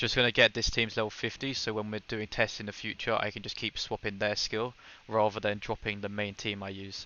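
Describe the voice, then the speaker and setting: The speaker has a British accent and a fairly quick pace. The intonation is monotone and flat. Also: man, fairly low pitch for a man. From Britain. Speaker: gaming streamer. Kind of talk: live stream gameplay commentary with chat. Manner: fast; casual.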